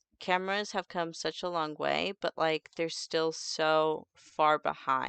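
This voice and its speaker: A woman's fairly low voice at a fairly slow pace, dry and close with no echo, over a quiet background. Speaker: vtuber streamer. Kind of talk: casual livestream chat.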